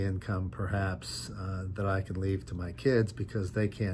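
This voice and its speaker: A man talks at a fairly slow pace in a fairly low pitch. His voice is somewhat breathy, with ordinary pitch variation. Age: 60s. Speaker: lawyer and online business vlogger. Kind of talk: casual vlog monologue. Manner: halting, with frequent fillers.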